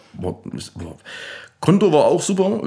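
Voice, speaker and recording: A man is speaking. His pace is fairly quick. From Saxony, Erzgebirge (Annaberg area). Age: young. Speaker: DJ and music producer. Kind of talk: casual interview. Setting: music studio lounge.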